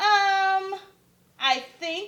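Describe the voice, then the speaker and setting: A woman squeaks in a put-on character voice at an extremely high pitch. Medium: read story. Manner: hesitant, timid.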